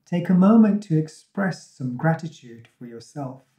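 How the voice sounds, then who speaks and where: A man's soothing, gentle tone at a fairly slow pace, with audible room echo and a quiet background. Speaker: meditation guide. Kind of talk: guided meditation. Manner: soothing, gentle, calm; slow, unhurried, with pauses. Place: empty room.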